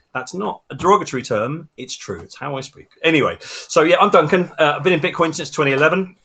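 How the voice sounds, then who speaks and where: A man with a fairly high pitch, ordinary pitch variation and a very fast pace. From London (Lewisham), England. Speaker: bitcoin mining hardware maker. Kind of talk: podcast interview.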